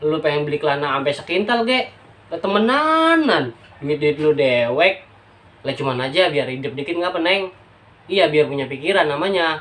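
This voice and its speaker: A man speaks with a Jakarta accent at a fairly high pitch. His intonation is lively. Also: moderate pace. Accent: Betawi (outskirts dialect). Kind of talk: dialect demonstration monologue, scolding a younger sister. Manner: casual, chiding.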